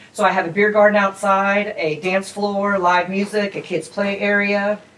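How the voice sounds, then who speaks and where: Against noticeable background noise, a woman with an American accent speaks in a monotone, flat intonation. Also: medium pitch for a woman, moderate pace. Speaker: restaurant owner. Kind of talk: interview. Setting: in her restaurant. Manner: loud; casual, chatty.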